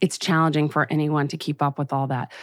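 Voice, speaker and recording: In a very clean recording with a silent background, a woman with a very deep, low voice and an American accent speaks at a fairly quick pace. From US West Coast, Los Angeles. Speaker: advertising trade association executive. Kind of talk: interview.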